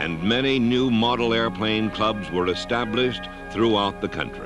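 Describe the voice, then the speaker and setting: A man talks at a medium pitch with ordinary pitch variation while music sounds in the background. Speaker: narrator. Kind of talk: documentary narration. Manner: slow, measured.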